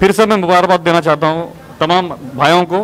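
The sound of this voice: Faint noise sits behind a man speaking at a fairly quick pace. His tone is fairly bright, his pitch fairly high and his intonation fairly even.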